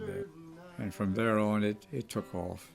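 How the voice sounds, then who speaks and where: A man with a Maryland Eastern Shore accent at a fairly low pitch, moderate pace and ordinary pitch variation, with music in the background. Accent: Maryland Eastern Shore rural American. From Eastern Shore of Maryland. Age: 90s. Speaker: country musician, WWII veteran. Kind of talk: interview answer.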